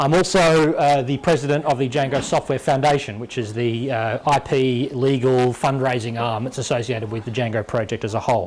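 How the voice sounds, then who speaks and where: There is noticeable background noise. A man speaks over it in an Australian accent. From Western Australia. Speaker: software developer giving a conference talk. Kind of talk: tech talk. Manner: fast when excited.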